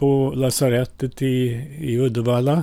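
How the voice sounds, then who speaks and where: A man with a Finnish accent, a dark, mellow tone and fairly even intonation. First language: Finnish (speaking Swedish). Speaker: priest. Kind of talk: personal life story.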